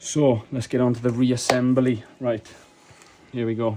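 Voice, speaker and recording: Quiet and at a fairly slow pace, a man speaks over noticeable background noise. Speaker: hobbyist maker and seller of mod kits. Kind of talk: tutorial.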